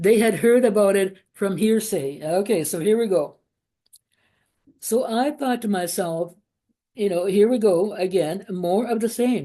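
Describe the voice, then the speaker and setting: A woman with a non-native accent talks at a fairly slow pace, her medium-pitched voice dark and mellow in tone, with ordinary pitch variation. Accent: foreign. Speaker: former Jehovah's Witness. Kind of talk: testimony. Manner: halting, many fillers.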